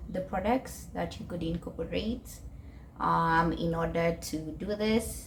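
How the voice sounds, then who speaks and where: Noticeable background noise beneath fairly slow talking. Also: woman. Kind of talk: casual talk to camera. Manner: hesitant, many filler sounds.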